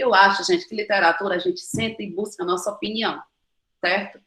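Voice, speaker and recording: A woman's voice has a bright, sharp tone. Her pitch is fairly high. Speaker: nutritionist. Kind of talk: online talk Q&A. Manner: fast; animated.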